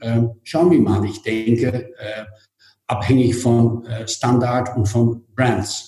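With music in the background, a man with a Dutch accent speaks at a very slow pace, keeping a medium pitch and fairly even intonation. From Netherlands. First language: Dutch (speaking German). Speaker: hotel group executive. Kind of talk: interview.

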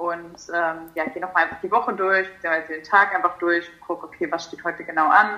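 A woman talks with fairly even intonation at a fairly low pitch. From Germany, near Frankfurt am Main. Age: 20s. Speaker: nutrition coach. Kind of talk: casual interview chat. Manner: hesitant, many fillers.

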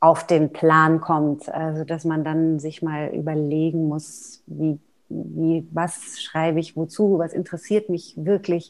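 A woman speaks very slowly in a very deep, low voice with flat, monotone intonation. The background is quiet. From Germany, Neckargemünd near Heidelberg. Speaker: mezzo-soprano singer and voice professor. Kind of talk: interview. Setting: video call.

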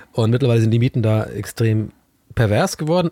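Heard on a very clean recording with a silent background and a dry, close sound with no echo, a man talks in an ordinary speaking voice at a fairly quick pace, medium pitch and with lively intonation. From southwestern Germany, Tübingen. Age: 30s. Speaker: TV presenter. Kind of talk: casual chat.

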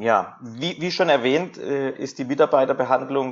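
Here a man speaks at a medium pitch. His pace is moderate and his pitch varies in an ordinary way. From Karlsruhe, Germany. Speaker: hotel manager. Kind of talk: interview. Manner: hesitant, frequent repetitions.

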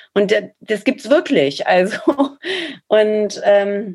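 Very slowly, a woman speaks with a fairly high pitch. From Ruhr area, Germany. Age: 40s. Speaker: social media manager, former dancer. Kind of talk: casual interview.

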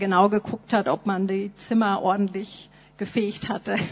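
Her delivery is fairly slow. The woman's intonation stays monotone and flat. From Nuremberg, Germany. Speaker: missionary. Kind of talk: testimony. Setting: church.

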